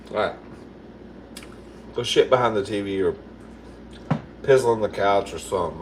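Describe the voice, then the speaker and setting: A man's animated tone at a moderate pace, with noticeable background noise. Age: 50s. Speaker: livestreamer cooking live. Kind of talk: casual livestream chat.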